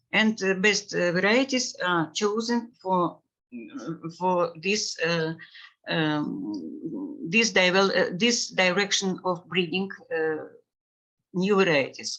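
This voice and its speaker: In a non-native accent, a woman speaks very slowly at medium pitch, with long, frequent pauses. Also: ordinary pitch variation. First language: Russian. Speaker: plant breeding researcher. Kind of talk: webinar presentation. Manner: halting, many fillers.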